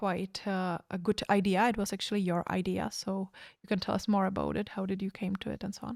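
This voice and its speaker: A woman's medium-pitched voice with vocal fry, flat monotone intonation and a fairly quick pace, dry and close with no echo, very clean with a silent background. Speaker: occult magazine co-founder. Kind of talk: casual chat. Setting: livestream. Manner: hesitant, many fillers.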